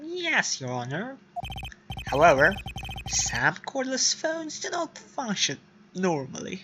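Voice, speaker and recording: Smug in tone, a put-on character voice with a fairly high pitch moves at a fairly slow pace with long, frequent pauses. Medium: game stream. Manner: smug, formal.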